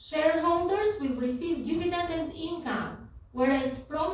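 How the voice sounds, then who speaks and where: Amid audible room echo, a woman with a non-native accent speaks fairly slowly with lively intonation. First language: not English. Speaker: university lecturer. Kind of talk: lecture.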